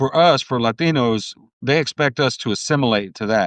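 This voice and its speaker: Over a quiet background, a man talks at a fairly quick pace and medium pitch with ordinary pitch variation and a dry, close sound with no echo. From US, Cuban family. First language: Spanish. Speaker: podcast host. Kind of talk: casual chat. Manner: animated.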